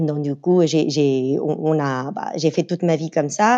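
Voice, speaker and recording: A woman's very deep, low-pitched voice in a dark, mellow tone, with a Spanish accent and a dry, close sound with no echo. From Venezuela, Caracas. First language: Spanish (speaking French). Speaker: communications officer. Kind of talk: casual interview. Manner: hesitant, many fillers.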